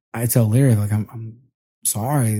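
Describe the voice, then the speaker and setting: A man with an American accent speaks in a dark, mellow, somewhat breathy tone on a very clean recording with a silent background. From US Northeast. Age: 30s. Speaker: podcaster. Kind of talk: casual chat. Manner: loose, relaxed.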